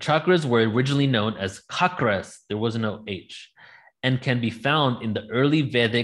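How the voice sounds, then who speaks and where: A man speaks with an American accent at a moderate pace. His pitch varies in an ordinary way, and the background is quiet. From England. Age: 30s. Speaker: spiritual presenter on sound healing; presenter. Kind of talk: live online presentation. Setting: live stream. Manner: animated. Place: home room. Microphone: webcam.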